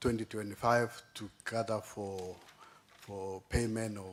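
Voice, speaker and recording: A man speaks with a fairly low pitch. His intonation stays monotone and flat. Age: 60s. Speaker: county finance executive. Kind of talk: committee testimony. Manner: halting.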